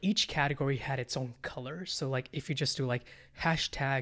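A man with an American accent talks in a normal speaking voice, fairly high and fairly quick. The recording is very clean, with a silent background. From India, then California from age 11. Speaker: startup founder. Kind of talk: casual interview.

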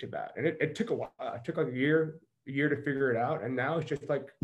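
A man with an American accent talks at a very fast pace in a somewhat breathy voice. His pitch is fairly high, with ordinary variation. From US South, Mississippi. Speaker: performance coach. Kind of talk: casual interview.

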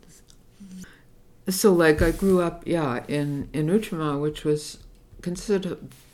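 A woman talks with a Montreal accent. Her pitch is very deep and low, with ordinary variation. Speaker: activist and retired teacher. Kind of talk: oral history interview. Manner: halting, with many fillers and repetitions.

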